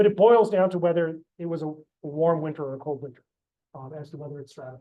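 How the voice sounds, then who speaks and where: A high-pitched man speaking at a very fast pace, with ordinary pitch variation. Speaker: professor and oceanographer. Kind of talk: seminar lecture. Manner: hesitant, many fillers.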